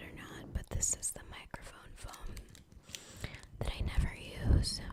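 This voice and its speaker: Whispering amid noticeable background noise, a woman leaves long, frequent pauses. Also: big swings in loudness. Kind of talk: ASMR candy-eating talk to camera. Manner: soft-spoken, whispery.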